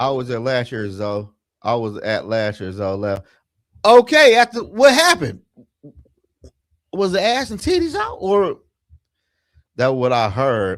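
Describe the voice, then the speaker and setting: A man at a fairly slow pace, pausing long and often. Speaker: sports podcast host. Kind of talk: casual chat. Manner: animated.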